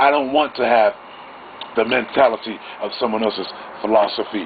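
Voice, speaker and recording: Over noticeable background noise, a man speaks at a fairly quick pace in a medium pitch. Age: 50s. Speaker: vlogger. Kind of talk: monologue storytelling. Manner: halting.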